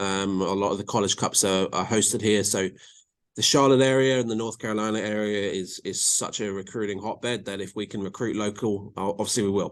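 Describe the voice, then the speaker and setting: A man in an English accent, at a fairly quick pace, with fairly even intonation. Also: quiet background. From England. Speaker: college soccer coach. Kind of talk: podcast interview. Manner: many fillers and repeats.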